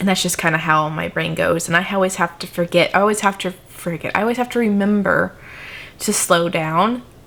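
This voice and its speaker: There is noticeable background noise as a woman talks at a fairly quick pace, at a medium pitch with ordinary pitch variation. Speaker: crafting YouTuber. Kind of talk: casual vlog talk to camera. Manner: fast when excited; sometimes slurs or mixes up words.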